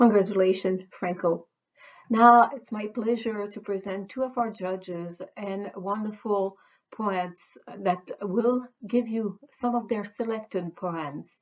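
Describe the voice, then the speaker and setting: Against a quiet background, a woman at medium pitch talks at a very slow pace with fairly even intonation. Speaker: organizer and host of poetry celebration. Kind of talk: formal welcome and introductions. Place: home room. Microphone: webcam.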